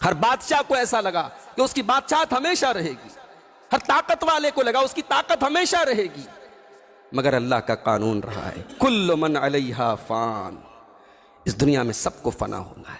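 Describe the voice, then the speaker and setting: A man speaks at a high pitch with very wide pitch swings and big swings in loudness. Noticeable background noise runs underneath. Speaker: Islamic preacher. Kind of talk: Islamic sermon (bayan). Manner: emotional, emphatic, preaching.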